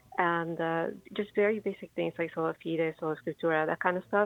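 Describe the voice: A woman with a fairly low pitch, vocal fry and fairly even intonation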